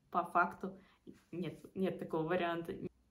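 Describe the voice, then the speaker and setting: Medium-pitched female voice amid audible room echo. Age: 20s. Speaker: student and study-abroad consultant. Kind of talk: casual vlog talk.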